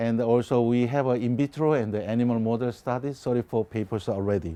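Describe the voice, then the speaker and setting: A man with a Korean accent talks at a medium pitch and a moderate pace. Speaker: biotech company CEO and scientist. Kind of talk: lecture. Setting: conference presentation. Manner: halting, many fillers.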